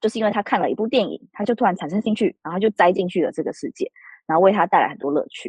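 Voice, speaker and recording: A woman with a medium-pitched, somewhat breathy voice speaks very fast with lively intonation over a quiet background. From Taiwan. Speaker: author. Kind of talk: interview.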